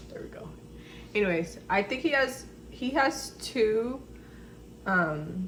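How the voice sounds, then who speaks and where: Mumbling at a very slow pace with long, frequent pauses, a woman swings widely in loudness over noticeable background noise and audible room echo. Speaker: lifestyle vlogger and esthetician. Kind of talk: casual vlog. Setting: at home, camera far away. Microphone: far from camera mic.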